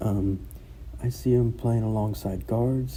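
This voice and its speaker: Amid audible room echo, a man's somewhat breathy, dark, mellow voice moves fairly slowly at a fairly low pitch with very wide pitch swings. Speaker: sports commentator YouTuber. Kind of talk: casual sports breakdown. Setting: school room during conference period. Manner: hesitant, many fillers.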